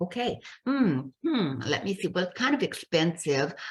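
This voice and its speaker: A woman speaks at a moderate pace in a somewhat breathy, medium-pitched voice against a quiet background. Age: 70s. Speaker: business coach and speaker. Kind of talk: interview conversation.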